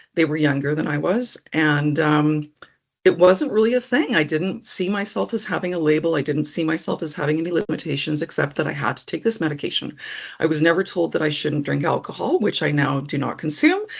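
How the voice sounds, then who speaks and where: A woman with a Canadian accent speaks at a fairly quick pace, her very deep, low pitch showing ordinary variation. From Alberta, Canada (Edmonton). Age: 60s. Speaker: person living with epilepsy. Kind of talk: personal testimony interview. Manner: conversational with frequent ums.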